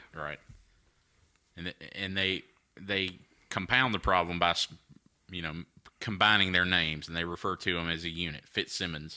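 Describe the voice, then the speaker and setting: In a Southern US accent, a man speaks at a very deep, low pitch with a bright, sharp tone and fairly even intonation. His pace is moderate, broken by long, frequent pauses. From North Carolina, USA. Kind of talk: casual podcast banter, profane.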